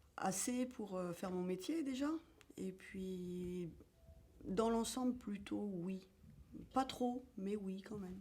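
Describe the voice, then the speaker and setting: Very slowly and with long, frequent pauses, a woman speaks in a dark, mellow, somewhat breathy voice with ordinary pitch variation. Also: medium pitch for a woman. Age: 50s. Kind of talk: interview.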